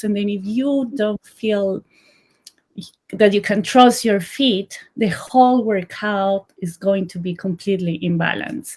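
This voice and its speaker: A woman speaks with a Colombian accent. Her medium pitch shows ordinary variation. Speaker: sock brand founder. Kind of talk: interview.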